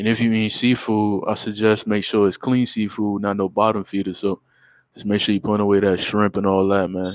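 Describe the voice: A fairly low-pitched male voice with little pitch movement and a dry, close sound with no echo. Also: moderate pace.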